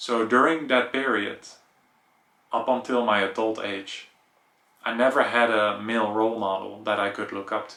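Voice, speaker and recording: A medium-pitched man with a Dutch accent speaks with fairly even intonation and big swings in loudness. He leaves long, frequent pauses. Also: moderate pace. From Netherlands. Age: 30s. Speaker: vlogger. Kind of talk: personal vlog monologue.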